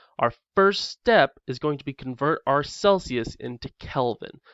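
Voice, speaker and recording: This is a man's voice. His pitch sits fairly high. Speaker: chemistry teacher. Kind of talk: recorded lesson lecture. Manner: fast.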